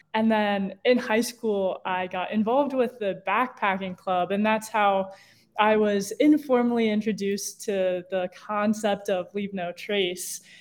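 This is an ordinary speaking voice at a fairly slow pace. The intonation stays fairly even. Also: woman, medium pitch for a woman. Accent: American. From Ohio (Cincinnati). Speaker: outdoor ethics educator. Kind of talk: interview.

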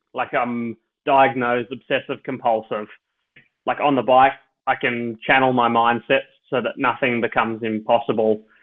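Someone speaks with an Australian accent at a moderate pace. The intonation is monotone and flat. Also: man, medium pitch for a man. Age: 30s. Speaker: professional ultra cyclist. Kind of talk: interview, personal storytelling.

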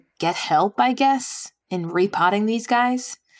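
A plain, everyday voice with an American accent is heard in a very clean recording with a silent background. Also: woman. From New York. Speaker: podcast writer and host, houseplant enthusiast. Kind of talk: casual conversation on a game show.

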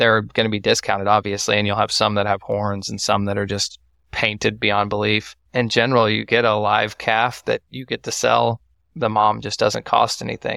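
In a very clean recording with a silent background and a dry, close sound without echo, a man talks at a moderate pace with a bright, sharp tone, fairly low pitch, flat monotone intonation and vocal fry. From Texas, Waco. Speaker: first-generation cattle farmer. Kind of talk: casual interview.

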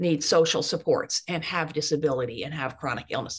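A somewhat breathy woman at a moderate pace. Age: 70s. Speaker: author and anti-ageism activist. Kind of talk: interview conversation.

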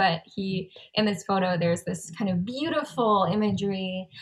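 With an American accent, a woman speaks at a moderate pace in a medium-pitched, somewhat breathy voice. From Southern California. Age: 20s. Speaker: singer-songwriter. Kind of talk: casual interview chat.

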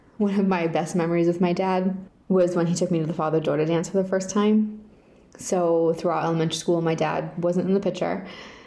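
A woman with an American accent, fairly low in pitch with a dark, mellow tone, at a fairly quick pace with monotone, flat intonation and very even loudness, in audible room echo. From Rhode Island, US. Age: 30s. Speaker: victim's daughter and advocate. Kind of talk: prepared personal statement.

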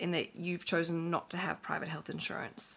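A woman with an Australian accent at a moderate pace, on a very clean recording with a silent background. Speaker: podcast host and financial planner. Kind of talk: interview podcast chat. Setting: recording at home.

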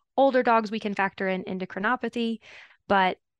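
A woman's very fast speech in a Louisiana accent, fairly even in intonation, with a dry, close sound and no echo. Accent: Southern US (Louisiana). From Louisiana, US South. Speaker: veterinary dermatologist. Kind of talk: professional interview.

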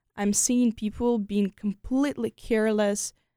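In a Ukrainian accent, a woman speaks at a medium pitch with a dark, mellow tone and ordinary pitch variation, the sound dry and close with no echo on a very clean recording with a silent background. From Ukraine, Kyiv. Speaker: exchange student. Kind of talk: interview conversation. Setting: studio.

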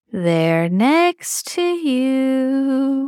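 A female-sounding, put-on character voice is pitched high for a woman. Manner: creepy, eerie.

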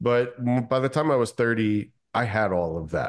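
A man's plain, everyday voice with an American accent, medium pitch, ordinary pitch variation and moderate pace, over a quiet background. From Kentucky, US South. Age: 40s. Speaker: wealth strategist, former pilot. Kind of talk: interview.

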